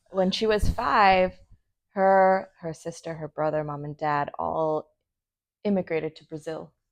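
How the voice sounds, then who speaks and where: A plain, everyday voice from a woman, fairly low in pitch, at a fairly slow pace with ordinary pitch variation. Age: 30s. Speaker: medical device industry worker. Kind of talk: casual interview.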